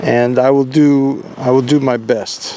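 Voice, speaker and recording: With an American accent and a fairly high pitch, a man talks at a very slow pace against noticeable background noise. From US South, New Orleans, Louisiana. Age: 70s. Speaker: father recording memoirs. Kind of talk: casual personal reminiscence. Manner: halting.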